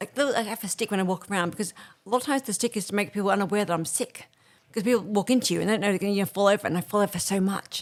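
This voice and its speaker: Delivered at a very fast pace in an Australian accent, the speech shows ordinary pitch variation on a very clean recording with a silent background. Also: woman, medium pitch for a woman. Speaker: executive producer living with MS. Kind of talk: interview. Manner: rushed, hard to follow.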